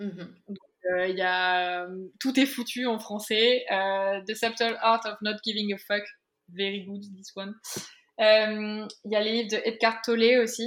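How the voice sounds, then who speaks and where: In a very clean recording with a silent background, a woman talks very slowly at a fairly high pitch, her intonation fairly even but her loudness swinging widely. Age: 20s. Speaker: entrepreneur and photographer. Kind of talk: interview. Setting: office.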